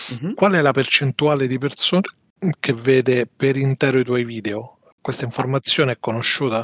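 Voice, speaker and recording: With an unremarkable speaking voice, a man talks at a medium pitch and moderate pace, with ordinary pitch variation, in a dry, close sound with no echo. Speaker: podcast co-host. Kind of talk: casual chat.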